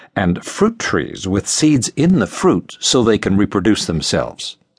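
A man's solemn, dramatic voice at a very slow pace, with very wide pitch swings and vocal fry. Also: dry, close sound with no echo. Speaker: audiobook narrator. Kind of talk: scripted audiobook narration of scripture, dramatic. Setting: studio. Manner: measured, solemn, dramatic; formal, reverent, steady pacing.

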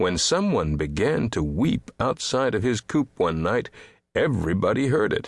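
Someone in an unforced reading voice.

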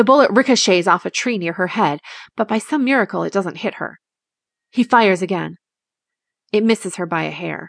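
Vocal fry marks this fairly quick speech, with ordinary pitch variation and long, frequent pauses, the sound dry and close with no echo over a quiet background. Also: woman, medium pitch for a woman. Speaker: audiobook narrator. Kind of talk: dramatic audiobook narration of a fantasy thriller. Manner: tense, urgent, building suspense, with hushed intensity; animated, voicing the attacker's menacing lines and Ella's soft cry.

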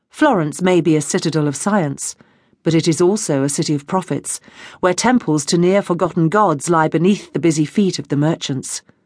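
At a moderate pace, a woman with an unremarkable speaking voice talks at a fairly low pitch with ordinary pitch variation against a quiet background. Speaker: audiobook narrator. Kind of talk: dramatic audiobook narration of a historical novel. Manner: measured, atmospheric, vividly descriptive.

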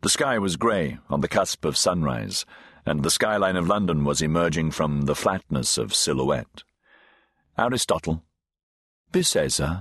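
Lively intonation and vocal fry mark this moderate-paced voice, which has long, frequent pauses and a dry, close sound with no echo against a quiet background. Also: man, very deep, low pitch for a man. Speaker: audiobook narrator. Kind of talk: dramatic audiobook narration of sci-fi, with character voices. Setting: studio. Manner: measured, suspenseful storytelling pace, shifting tone for characters.

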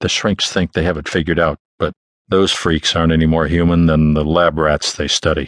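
A man with a very deep, low voice speaks in a flat monotone at a moderate pace. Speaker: audiobook narrator. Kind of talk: dramatic first-person hard-boiled noir detective narration, 1940s crime fiction. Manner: terse, clipped noir delivery with punchy short sentences; tense, suspense-building pacing through sudden action beats.

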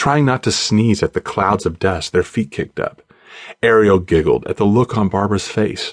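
With ordinary pitch variation, the speaker reads in an unforced reading voice.

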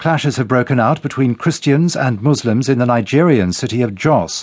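A man uses a normal speaking voice at a medium pitch. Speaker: BBC newsreader. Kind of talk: news reading, scripted headlines bulletin. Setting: studio. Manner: formal, brisk, neutral and measured; crisp, even delivery with little emotion.

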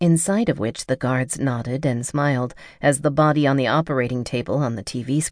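The delivery is an unforced reading voice whose intonation stays fairly even.

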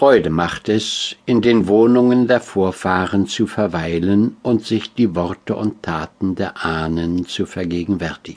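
With an ordinary speaking voice, a man speaks fairly slowly at a fairly low pitch with ordinary pitch variation. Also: hardly any pauses. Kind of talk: audiobook reading of classic literary prose. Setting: studio. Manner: measured, formal, reflective.

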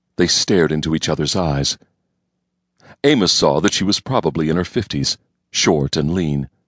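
With a very deep, low pitch and vocal fry, a man speaks in a menacing tone at a moderate pace with lively intonation, in a dry, close sound with no echo. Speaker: audiobook narrator. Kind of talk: dramatic audiobook narration of a Western story, voicing characters. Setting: studio. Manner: gravelly, tense, suspenseful storytelling with menacing character voices.

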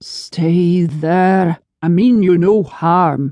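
A put-on character voice at a middle pitch. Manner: threatening, angered.

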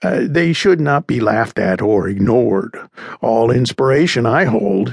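Lively intonation runs through the clip. The voice is an unforced reading voice.

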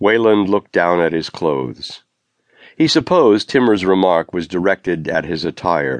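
A man with a very deep, low voice and vocal fry speaks in a dramatic tone at a moderate pace, the sound dry and close with no echo. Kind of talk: audiobook narration of a crime thriller. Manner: dramatic, suspenseful, measured pacing.

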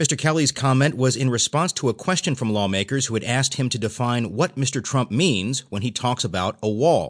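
An ordinary speaking voice from a man at medium pitch, fairly quick in pace with lively intonation, the sound dry and close with no echo over a quiet background. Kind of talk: newsreading, audiobook narration of newspaper stories. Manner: even, measured, formal newsreader delivery.

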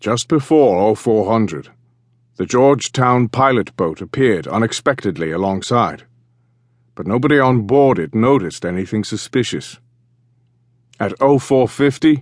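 Here is a man with a normal speaking voice at a fairly low pitch. His intonation is lively, and the background is quiet. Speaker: audiobook narrator. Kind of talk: dramatic audiobook narration of naval history, building suspense. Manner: measured, suspenseful storyteller pacing that slows toward the reveal; crisp, precise delivery of dates, times and foreign names.

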